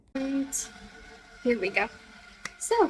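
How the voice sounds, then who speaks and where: Noticeable background noise surrounds a woman who speaks at a fairly slow pace. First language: French. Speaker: vlogger, law student. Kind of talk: casual vlog. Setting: hotel café. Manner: hesitant, many fillers.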